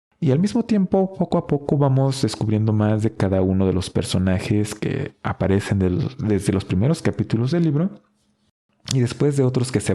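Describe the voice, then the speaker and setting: Lively intonation from a man with a dark, mellow tone, at a moderate pace. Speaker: book podcast host. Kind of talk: book review monologue.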